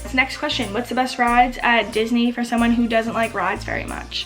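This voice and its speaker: Someone with an American accent speaks over music in the background. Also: woman. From Massachusetts. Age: 20s. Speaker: Disney YouTuber. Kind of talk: casual talk to camera.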